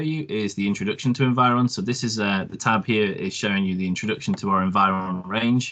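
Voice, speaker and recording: With a British accent, a man speaks at a fairly quick pace in a bright, sharp tone and a fairly low pitch over a quiet background. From UK. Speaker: product presenter. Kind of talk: webinar product demo. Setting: online webinar. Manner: hesitant, many ums.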